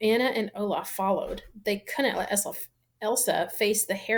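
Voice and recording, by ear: Against a quiet background, someone reads aloud in a natural voice.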